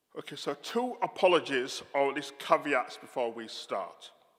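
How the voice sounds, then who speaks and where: Speaking with a Yorkshire accent, a man with a fairly high pitch shows big swings in loudness. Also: moderate pace. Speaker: theologian giving a lecture. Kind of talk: public talk, informal asides.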